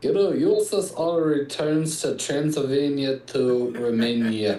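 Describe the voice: Putting on a robotic character voice, a man speaks at a fairly slow pace in a fairly high pitch. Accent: Russian.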